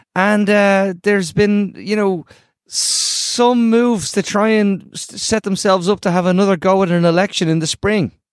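A man with an Irish accent and a high pitch, ordinary pitch variation, moderate pace, dry and close sound with no echo, in a very clean recording with a silent background. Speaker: podcast host. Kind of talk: casual political discussion.

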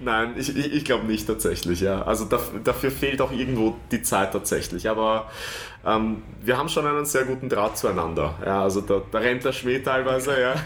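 A man with a medium pitch speaks with vocal fry. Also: ordinary pitch variation, moderate pace. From Vienna, Austria. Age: 30s. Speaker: stadium announcer. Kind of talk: interview.

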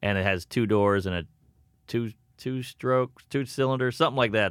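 An ordinary speaking voice from a man with an American accent, medium pitch and ordinary pitch variation, at a fairly quick pace, on a very clean recording with a silent background. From US South, Louisiana. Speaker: comedian. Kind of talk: casual chat.

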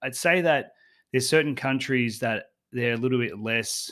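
A man with an Australian accent speaks at a fairly quick pace with fairly even intonation. The recording is very clean, with a silent background. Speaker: travel blogger and podcaster. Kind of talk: casual interview.

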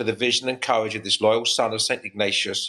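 A man with an English accent, medium in pitch, bright and sharp in tone, at a fairly quick pace.

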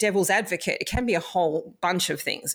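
A woman with an Australian accent speaks at a fairly quick pace with ordinary pitch variation. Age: 50s. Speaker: past life reader. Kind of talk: interview.

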